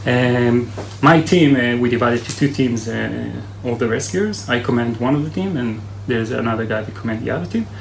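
In a room with audible echo and noticeable background noise, a man with an Israeli accent speaks at a fairly quick pace with ordinary pitch variation. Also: medium pitch for a man. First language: Hebrew. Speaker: army search and rescue commander. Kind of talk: interview. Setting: military base headquarters.

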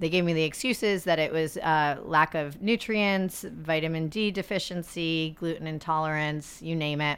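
A woman with an American accent at a moderate pace, her intonation fairly even, in a very clean recording against a silent background. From US Northeast (upstate New York). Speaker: founder of a mindful-technology movement. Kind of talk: casual interview.

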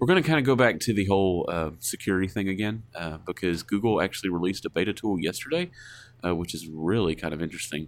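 Speaking at a fast pace with an American accent, a man uses a low pitch and lively intonation.

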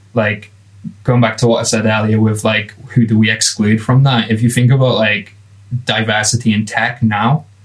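A man with an English Midlands accent, medium in pitch, monotone and flat, at a moderate pace. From England. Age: 20s. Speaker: product designer. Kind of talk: casual chat.

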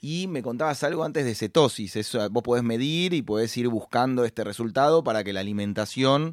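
A man with a Rioplatense accent talks at a fairly quick pace and a medium pitch, with lively intonation and hardly any pauses. The recording is very clean, with a silent background. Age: 30s. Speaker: podcast host, entrepreneur. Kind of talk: interview.

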